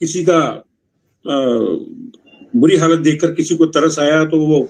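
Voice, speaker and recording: This is a man's voice. It sits at a fairly high pitch for a man. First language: Punjabi (speaking Hindi). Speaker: literary critic and ghazal poet. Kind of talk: literary review at a writers' meeting. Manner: conversational.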